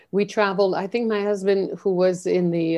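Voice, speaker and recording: Speaking in a Quebec accent, a woman has a dark, mellow tone at a medium pitch and a moderate pace against a quiet background. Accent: Canadian French. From French Canada. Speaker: leadership mentor. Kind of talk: interview.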